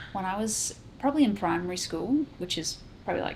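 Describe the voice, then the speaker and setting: A woman speaks with an Australian accent in a somewhat breathy voice. Her pace is fairly quick. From South Australia. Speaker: musician. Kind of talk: interview.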